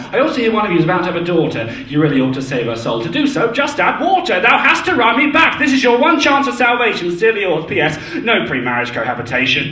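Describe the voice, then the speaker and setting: A raised, projected voice races at a very fast pace with hardly any pauses and very wide pitch swings, over noticeable background noise. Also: man, high pitch for a man. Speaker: performance poet. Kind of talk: rhythmic spoken word poetry performance. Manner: rhythmic, fast.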